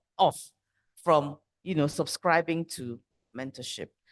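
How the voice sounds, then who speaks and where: A woman's normal speaking voice, at a fairly slow pace with lively intonation. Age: young. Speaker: mentoring organisation leader. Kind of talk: panel discussion.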